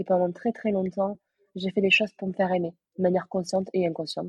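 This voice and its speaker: A woman's somewhat breathy, monotone voice with flat intonation at a fairly quick pace, dry and close with no echo. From southern France, Aveyron. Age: 20s. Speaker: sales closer. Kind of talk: interview.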